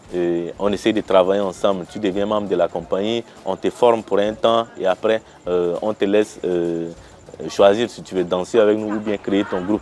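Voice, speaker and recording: The voice belongs to a man with a fairly low pitch and fairly even intonation. There is noticeable background noise. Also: moderate pace. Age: 30s. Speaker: lawyer and dance company director. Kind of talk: interview testimony. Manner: halting, many hesitations.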